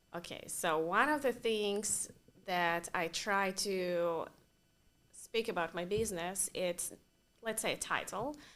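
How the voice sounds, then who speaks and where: Her tone bright and sharp, a woman speaks at a fairly slow pace in a medium pitch with ordinary pitch variation. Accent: Russian. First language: Russian. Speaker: interior designer. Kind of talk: interview.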